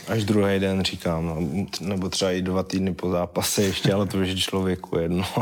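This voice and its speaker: A man speaks at a moderate pace with a very deep, low pitch and monotone, flat intonation. Noticeable background noise is present. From Czechia, Vyškov (South Moravia). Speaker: MMA fighter and soldier. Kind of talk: casual interview.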